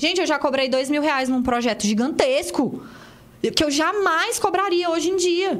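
With audible room echo, a woman speaks at a high pitch with lively intonation and very even loudness. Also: moderate pace. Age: 20s. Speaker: engineer and business owner. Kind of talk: casual chat.

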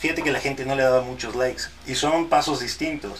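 A man speaks at a fairly quick pace, with audible room echo and noticeable background noise. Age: 30s. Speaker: mariachi musician and content creator. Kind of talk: casual interview chat.

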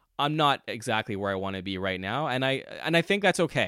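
A man with an unremarkable speaking voice and a Canadian accent talks at a moderate pace with lively intonation, captured in a very clean, dry, close recording with no echo and a silent background. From Montreal, Quebec. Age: 30s. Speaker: podcast host. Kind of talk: casual monologue. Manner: conversational.

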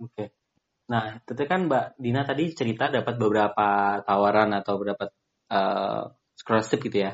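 A man speaks in a normal speaking voice at a fairly quick pace. His pitch is fairly low, with ordinary pitch variation. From Magetan, East Java, Indonesia. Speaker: podcast host. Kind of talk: casual interview.

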